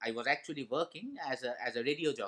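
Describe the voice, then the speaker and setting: Intonation is lively and the pace moderate, delivered in a Bengali accent. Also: man. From India, Kolkata (Bengali). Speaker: motivational speaker, former radio jockey. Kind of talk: motivational talk with personal stories.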